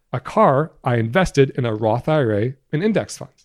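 Speaking with an American accent and lively intonation, a man is heard dry and close with no echo on a very clean recording with a silent background. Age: 30s. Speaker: guest podcast host, personal finance educator. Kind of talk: solo podcast monologue. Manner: casual, conversational.

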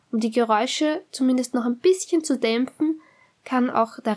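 High-pitched female speech with ordinary pitch variation. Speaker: podcast host, dog trainer. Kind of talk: solo podcast tips monologue.

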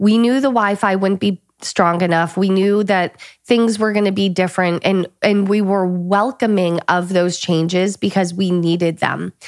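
An ordinary speaking voice, a woman with an American accent talks at a moderate pace and medium pitch, with fairly even intonation, very even loudness and hardly any pauses, on a very clean recording with a silent background. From northern US. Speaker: podcast co-host, entrepreneur. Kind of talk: casual chat.

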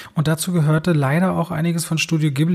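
A man's somewhat breathy voice at a very fast pace, with fairly even intonation. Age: 30s. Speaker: film critic and YouTuber. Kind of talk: casual chat.

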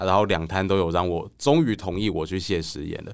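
A man with a Taiwanese accent speaks at a moderate pace in a very deep, low pitch. The recording is very clean, with a silent background. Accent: Taiwanese Mandarin. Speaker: author. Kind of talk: casual interview chat.

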